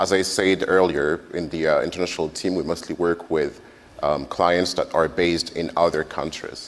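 A man at a moderate pace, very deep and low in pitch, with monotone, flat intonation. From France. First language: French. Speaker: agency manager. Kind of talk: panel discussion.

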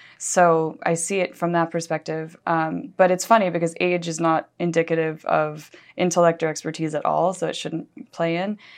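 At a moderate pace and with hardly any pauses, a woman with fairly low pitch, fairly even intonation and an unremarkable speaking voice talks on. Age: 30s. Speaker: editor of an advertising trade publication. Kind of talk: interview.

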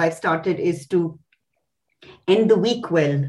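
A woman's fairly low voice at a very slow pace, with lively intonation. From India. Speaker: company CEO. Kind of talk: interview. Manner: halting.

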